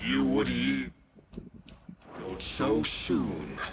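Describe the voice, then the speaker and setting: Using a put-on character voice, a man growls at a very deep, low pitch, with audible echo. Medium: video game.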